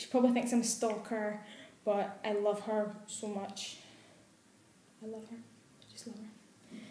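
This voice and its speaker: Her intonation stays monotone and flat. The woman talks at a moderate pace. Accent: Glasgow. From Glasgow, Scotland. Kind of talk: casual talk to camera.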